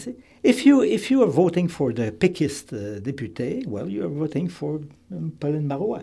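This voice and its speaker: In a Quebec accent, the dark, mellow voice moves at a moderate pace with very wide pitch swings, big swings in loudness and vocal fry, on a very clean recording with a silent background. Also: man, fairly high pitch for a man. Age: 70s. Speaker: political candidate, retired lawyer. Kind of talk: radio interview. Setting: studio.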